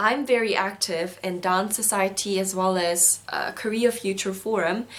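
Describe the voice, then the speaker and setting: With a Korean accent, a woman speaks at a moderate pace. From South Korea, schooled in Singapore. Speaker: university student vlogger. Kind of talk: video diary.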